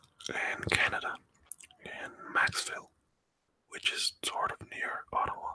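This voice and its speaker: A man whispers at a fairly slow pace, with long pauses coming often. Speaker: pipe band drummer. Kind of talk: ASMR story time. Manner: soft-spoken, whispered.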